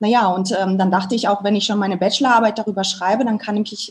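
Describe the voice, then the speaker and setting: A woman speaks in a fairly high, somewhat breathy voice with ordinary pitch variation. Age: 30s. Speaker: family photographer. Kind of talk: interview.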